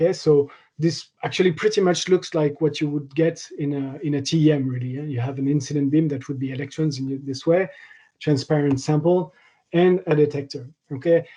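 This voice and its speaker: The voice carries a French accent and moves at a fairly quick pace. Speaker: materials science researcher. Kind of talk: lecture. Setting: online seminar. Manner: halting, with many fillers.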